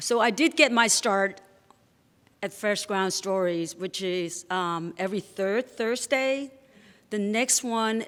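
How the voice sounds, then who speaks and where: At a very slow pace, a woman speaks in a medium pitch. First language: not English. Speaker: storyteller. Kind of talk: live storytelling. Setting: stage with audience.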